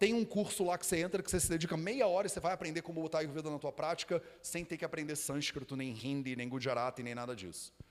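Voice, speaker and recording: In a Rio de Janeiro accent, the speaker talks very fast with an animated tone, lively intonation and hardly any pauses. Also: man, fairly high pitch for a man. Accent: carioca (Rio de Janeiro). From Rio de Janeiro, Brazil. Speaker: Ayurveda teacher and school founder. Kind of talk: live talk to audience. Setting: stage with live audience. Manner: casual, animated.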